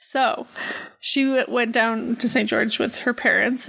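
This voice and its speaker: A woman with a high pitch amid noticeable background noise. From Canada. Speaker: podcast co-host. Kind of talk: casual chat.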